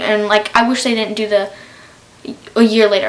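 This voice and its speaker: There is noticeable background noise throughout. Over it, a woman talks. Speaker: YouTuber. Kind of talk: casual TV recap. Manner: fast.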